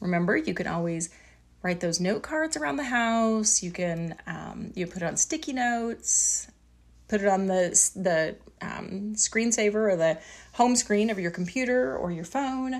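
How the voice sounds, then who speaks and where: A woman speaks at a medium pitch, with lively intonation and a fairly slow pace. Hers is an unremarkable speaking voice, captured in a very clean recording with a silent background. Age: 40s. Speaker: podcast host.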